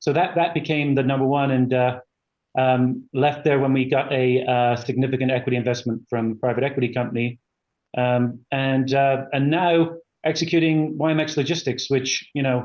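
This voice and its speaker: A man speaks at a moderate pace and medium pitch with a slight British accent, fairly even intonation, and very even loudness. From England. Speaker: company executive. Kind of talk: interview. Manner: halting, many fillers.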